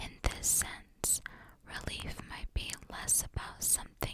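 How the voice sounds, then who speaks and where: A whisper at a very slow pace, with a gentle tone. Noticeable background noise sits behind it. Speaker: ASMR creator. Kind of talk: ASMR card reading. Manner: slow, gentle, calming.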